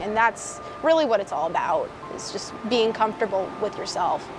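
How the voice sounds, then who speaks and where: A woman talks in a fairly high voice, and there is noticeable noise behind her. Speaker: drag king performer. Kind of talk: documentary interview.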